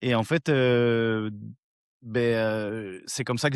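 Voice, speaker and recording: A man talks with fairly even intonation in a dry, close sound with no echo over a quiet background. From Brittany, Rennes. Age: 40s. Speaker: fishing youtuber. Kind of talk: interview.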